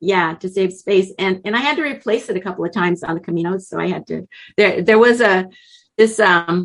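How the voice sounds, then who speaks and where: With an ordinary speaking voice, a woman talks at a fairly quick pace in a medium pitch with ordinary pitch variation. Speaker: author and traveler. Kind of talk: interview.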